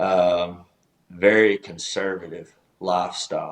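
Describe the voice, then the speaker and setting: A man's fairly low-pitched voice in a Southern US accent, with monotone, flat intonation. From US South, East Tennessee (Chattanooga). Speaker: country singer-songwriter, former pastor. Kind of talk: casual interview chat.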